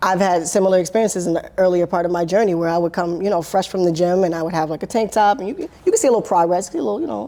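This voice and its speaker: A woman at a very fast pace with hardly any pauses and ordinary pitch variation, over noticeable background noise. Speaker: podcast co-host. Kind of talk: casual chat.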